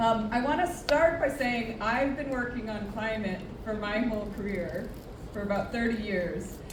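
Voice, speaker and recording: Amid noticeable background noise and audible room echo, a woman with an American accent speaks at a moderate pace, her fairly high pitch showing ordinary variation. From US. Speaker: professor. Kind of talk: conference presentation.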